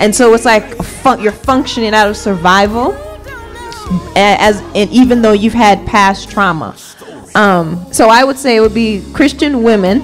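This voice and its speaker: Faint music plays behind a woman's voice. She speaks at a moderate pace with ordinary pitch variation. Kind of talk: group discussion answer. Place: home room. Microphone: studio mic.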